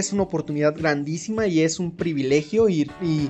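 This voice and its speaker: Music plays in the background as a man speaks in a Mexican accent. His pitch is high, with ordinary variation. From Mexico. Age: 20s. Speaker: podcast host. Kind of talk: solo podcast monologue. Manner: hesitant, many fillers and repetitions.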